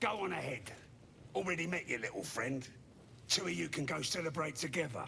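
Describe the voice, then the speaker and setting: A man puts on a character voice at a fairly high pitch and a fairly quick pace, with long, frequent pauses. Clear background noise can be heard. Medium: video game. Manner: sneering, crude.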